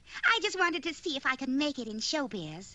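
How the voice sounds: A woman puts on a cartoonish character voice, high-pitched with very wide pitch swings. She talks at a fairly quick pace over light background noise.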